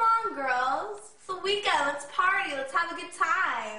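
Amid noticeable background noise and audible room echo, a woman speaks in a raised, projected voice. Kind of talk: acted skit dialogue. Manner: acted drunk, loose and slurring. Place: home room. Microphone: camera far.

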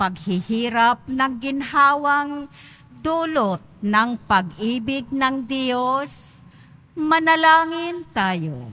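A woman's high, bright, sharp voice, with very wide pitch swings at a very slow pace. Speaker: lector. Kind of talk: reading aloud. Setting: church.

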